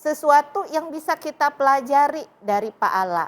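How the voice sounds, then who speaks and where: Her pitch swinging across a very wide range, the woman talks fairly slowly. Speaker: talk show host. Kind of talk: interview. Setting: studio.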